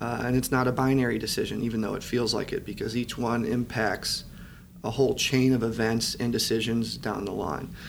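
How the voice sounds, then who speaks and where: A man speaks in an American accent at a medium pitch, with vocal fry. His pace is moderate and his intonation fairly even. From US Midwest, southeastern Michigan. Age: 30s. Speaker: real estate developer and company lawyer. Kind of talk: interview. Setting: office.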